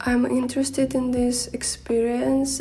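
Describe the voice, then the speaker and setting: A woman with a non-native accent at a moderate pace, fairly even intonation, audible room echo and noticeable background noise. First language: Russian. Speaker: makeup vlogger. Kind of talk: vlog narration.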